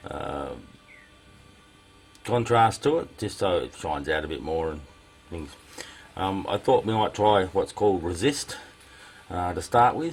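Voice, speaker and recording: Music plays in the background as a man with a very deep, low pitch and lively intonation speaks at a fairly slow pace with long, frequent pauses. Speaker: leathercraft hobbyist. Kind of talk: tutorial. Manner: halting, many fillers.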